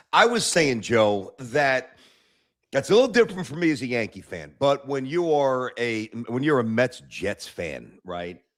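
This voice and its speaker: With a plain, everyday voice, a man talks at a fairly slow pace and medium pitch, his intonation lively. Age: 50s. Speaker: sports talk show host. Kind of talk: casual chat.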